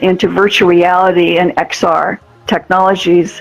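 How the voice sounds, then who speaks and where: A woman with a medium-pitched voice talks as noticeable background noise continues. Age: 80s+. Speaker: nonprofit organization leader, event host. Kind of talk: award ceremony speech. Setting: virtual reality event.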